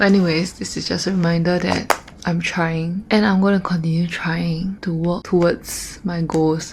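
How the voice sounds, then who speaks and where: A woman with a fairly low pitch at a moderate pace with hardly any pauses, over noticeable background noise. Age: 20s. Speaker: vlogger, university student. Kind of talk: casual vlog monologue. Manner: animated.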